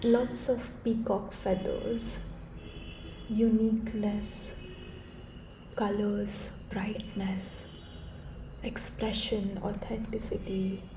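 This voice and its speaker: Soft-spoken delivery at a very slow pace, with long, frequent pauses and noticeable background noise. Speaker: tarot reader. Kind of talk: tarot reading to camera.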